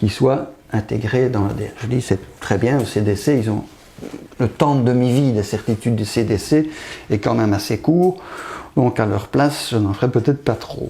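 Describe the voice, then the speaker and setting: A man talks at a moderate pace in a medium pitch with ordinary pitch variation. His voice is somewhat breathy, with a dark, mellow tone. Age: 60s. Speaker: pathologist. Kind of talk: interview.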